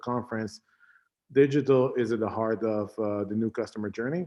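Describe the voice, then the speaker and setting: A man with an Israeli accent, medium pitch and fairly even intonation at a moderate pace. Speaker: tech company CEO and founder. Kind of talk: conference talk. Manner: halting, many fillers.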